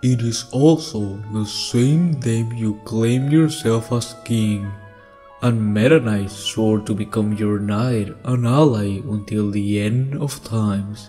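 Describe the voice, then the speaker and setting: A man puts on a character voice at a medium pitch and a fairly slow pace. Clear music plays in the background. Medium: audio drama. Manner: calm, measured.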